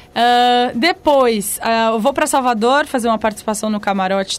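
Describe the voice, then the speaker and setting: The pace of this woman's speech is fairly slow. Her voice sits high. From São Paulo, Brazil. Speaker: singer. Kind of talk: casual chat. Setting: studio.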